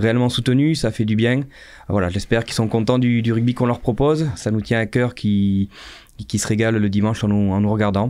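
A man speaks at a fairly quick pace in a dark, mellow tone. His intonation stays fairly even. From France, Dordogne (Sarlat); Dordogne, France. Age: 30s. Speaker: rugby coach. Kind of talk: casual interview. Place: studio. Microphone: studio mic.

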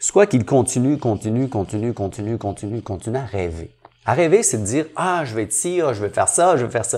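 A man's medium-pitched voice at a moderate pace, with very wide swings in pitch. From Quebec, Montreal (Saint-Henri). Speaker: entrepreneur and business coach. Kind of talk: interview.

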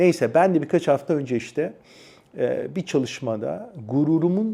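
With a dark, mellow tone, a man keeps to a moderate speed as he talks. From Turkey, Adana. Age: 40s. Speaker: personal development YouTuber. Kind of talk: personal storytelling monologue.

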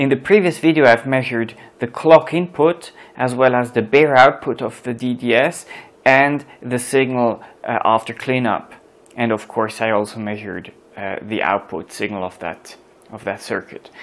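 Man at a moderate pace with ordinary pitch variation and big swings in loudness. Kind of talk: tutorial. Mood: calm, explanatory. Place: workshop.

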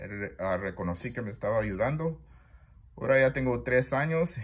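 The voice is somewhat breathy. Its intonation is lively. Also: man. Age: 60s. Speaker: multiple sclerosis patient vlogger. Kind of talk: personal video diary; casual vlog chat. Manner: halting, many fillers. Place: home room. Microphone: phone near.

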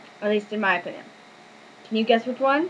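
Light background noise sits behind a woman as she talks. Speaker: vlogger. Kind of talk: casual talk to camera. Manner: stuttering, hesitant. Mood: indignant about the lifeboats. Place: home room. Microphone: webcam.

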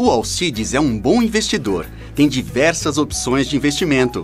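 Over music in the background, the speaker talks at a moderate pace with very even loudness. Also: man. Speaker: voice actor. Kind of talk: TV commercial read.

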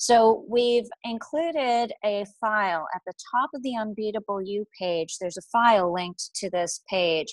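A woman speaks at a fairly slow pace with ordinary pitch variation. The sound is dry with no echo, and the background is quiet. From Boston. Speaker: life coach. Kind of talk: webinar presentation. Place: home room. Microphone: earbuds.

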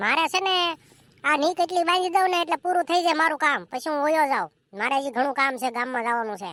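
Doing a cartoonish character voice, a woman talks at a fairly quick pace in a high pitch with lively intonation.

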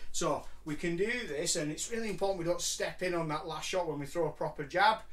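There is ordinary pitch variation in this man's speech. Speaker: martial arts coach. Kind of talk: tutorial. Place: home room. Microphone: camera far.

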